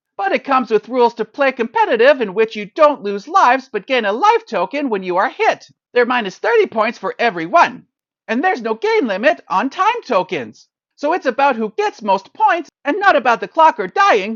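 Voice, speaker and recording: The voice has a fairly high pitch. It moves at a moderate pace. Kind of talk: iambic pentameter verse review. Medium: solo performance. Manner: measured, rhythmic, wry.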